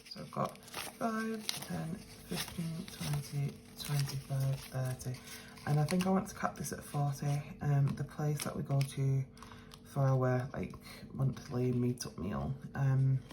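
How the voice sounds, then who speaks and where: Over music in the background, a woman mumbles quietly at a fairly slow pace, her very deep, low pitch carrying lively intonation. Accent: British. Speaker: budgeting vlogger. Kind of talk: casual vlog talk. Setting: at home, early morning. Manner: quiet, mumbling; hesitant, many fillers.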